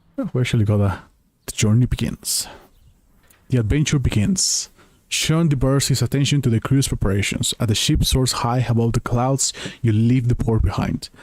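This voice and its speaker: Here a man with a non-native accent speaks at a medium pitch and moderate pace. His voice is somewhat breathy, and his loudness stays very even. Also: ordinary pitch variation. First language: not English. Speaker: video game streamer. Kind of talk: gameplay stream reading game text aloud; casual chat to viewers. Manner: halting over unfamiliar words.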